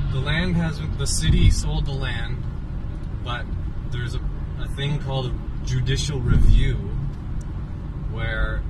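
Over loud background noise, a man speaks with long, frequent pauses. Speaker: local activist vlogger. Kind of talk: casual explanation. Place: car. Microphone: phone near.

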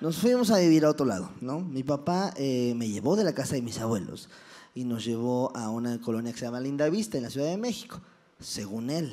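Speaking at a fairly quick pace, a man uses lively intonation and has a dark, mellow tone. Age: 20s. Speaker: comedian. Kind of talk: motivational talk with stand-up humor. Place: stage.

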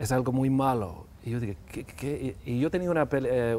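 A man speaks with an English accent at a moderate pace. His pitch is medium with ordinary variation. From Canada. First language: English (speaking Spanish). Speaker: actor; interview guest. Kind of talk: TV interview. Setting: TV studio. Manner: halting, mixing English words. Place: studio. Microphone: lapel.

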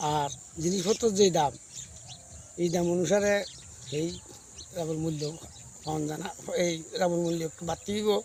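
With noticeable noise behind him, a man speaks in a high pitch with fairly even intonation and a Tripura accent. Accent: rural Tripura Bengali dialect. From Tripura, India (Kathalia, North Maheshpur). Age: 60s. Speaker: date palm sap tapper. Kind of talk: interview.

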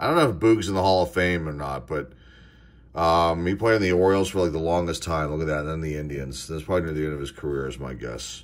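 A man with an American accent talks at a very fast pace. His voice is very deep and low, with ordinary pitch variation. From Pittsburgh, US. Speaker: sports card collector YouTuber. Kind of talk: card box opening video. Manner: enthusiastic, animated; frequent fillers and hesitations. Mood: relaxed, mildly enthusiastic. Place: home room. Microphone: phone near.

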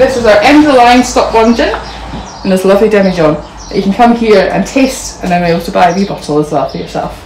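Talking at a very fast pace, the speaker comes through over noticeable background noise. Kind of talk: guided tour explanation. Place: shop. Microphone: phone near.

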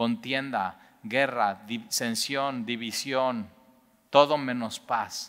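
Against a quiet background, a man with a Mexican accent speaks in a bright, sharp tone. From Mexico. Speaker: Bible teacher. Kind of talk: Bible study teaching. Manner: conversational, many fillers. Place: church.

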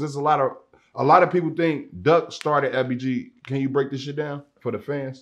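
Over a quiet background, a man with a fairly high pitch keeps a moderate pace. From Chicago South Side. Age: 30s. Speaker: podcast host. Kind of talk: casual interview. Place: studio. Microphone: lapel.

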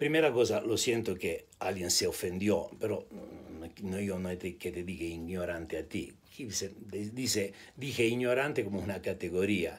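A moderate pace and ordinary pitch variation, with an Italian accent. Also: man, fairly low pitch for a man. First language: Italian (speaking Spanish). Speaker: spiritual teacher / video blogger; spiritual teacher, video blogger. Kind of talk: monologue to camera. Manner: hesitant, mixes Spanish and Italian. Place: home room. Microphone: phone near.

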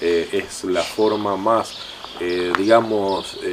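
A man speaks while clear background noise can be heard. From Santa Fe province, Argentina. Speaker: local mayor. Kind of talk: TV interview. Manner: halting, many fillers. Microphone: handheld.

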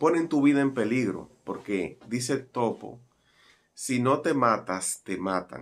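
With music in the background, a man speaks at a very slow pace and with ordinary pitch variation. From Dominican Republic. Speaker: broadcaster and commentator. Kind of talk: news commentary to camera. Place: home room.

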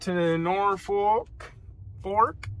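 With faint music in the background, a man speaks at a high pitch in a bright, sharp tone, showing ordinary pitch variation.

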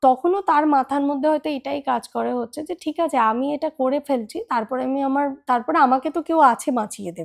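A woman speaks in a high voice. The recording is very clean and dry, with a close sound, no echo and a silent background. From India, Kolkata. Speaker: travel and lifestyle vlogger. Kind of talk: personal vlog monologue.

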